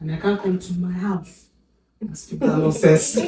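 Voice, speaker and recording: This woman has a fairly low-pitched voice. Her pitch varies in an ordinary way. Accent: American. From Nigeria. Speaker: podcast co-host. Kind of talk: casual chat.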